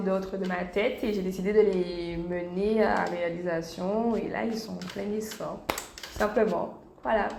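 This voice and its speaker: Recorded with audible room echo and noticeable background noise, a woman with a medium-pitched voice talks at a fairly slow pace with fairly even intonation. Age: 20s. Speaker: YouTuber, young mother. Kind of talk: interview.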